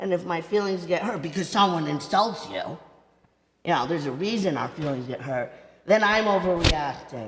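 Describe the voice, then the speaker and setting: In a room with audible echo, a woman with a fairly low pitch speaks at a moderate pace with lively intonation. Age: 60s. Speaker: rabbi and author. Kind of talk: talk with audience Q&A. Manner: halting, repeats words.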